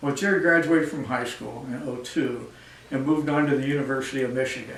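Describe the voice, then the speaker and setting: There is noticeable background noise and audible room echo. A man with a fairly high pitch speaks at a moderate pace with fairly even intonation. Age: 70s. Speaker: community volunteer organizer and donor. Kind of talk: speech at a breakfast event. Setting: event with live audience.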